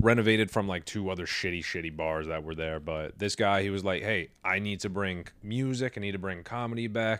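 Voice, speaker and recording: A man with an American accent and an ordinary speaking voice, fairly low pitched and fairly quick, with ordinary pitch variation, hardly any pauses, and a very clean recording against a silent background. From New York. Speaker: stand-up comedian and show producer. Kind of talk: casual chat.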